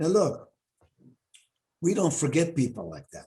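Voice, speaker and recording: A man talks with a non-native accent, his tone dark and mellow. His voice is somewhat breathy, with ordinary pitch variation. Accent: foreign. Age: 70s. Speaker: university president. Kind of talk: interview. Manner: animated.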